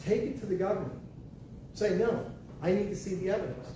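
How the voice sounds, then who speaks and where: In a Texan accent, a man speaks at a high pitch amid noticeable background noise and audible room echo. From Texas, San Antonio. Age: 60s. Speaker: property tax consultant. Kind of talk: workshop presentation. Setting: library room with small audience. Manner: animated.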